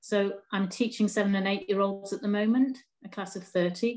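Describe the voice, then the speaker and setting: In an English accent, a woman speaks at a medium pitch and moderate pace against a quiet background. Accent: English, noticeable to a foreign listener. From northeast England. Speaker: primary school teacher with MS. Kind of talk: casual interview.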